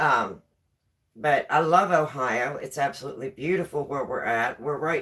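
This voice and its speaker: A woman speaks with a West Virginia accent. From West Virginia, rural. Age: 60s. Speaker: live streamer. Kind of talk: casual chat. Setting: home kitchen live stream.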